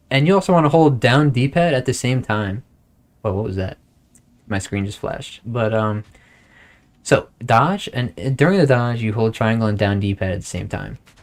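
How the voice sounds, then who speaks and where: A man speaks at medium pitch with lively intonation. His pace is moderate. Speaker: gaming livestreamer. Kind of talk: tutorial. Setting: livestream. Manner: casual.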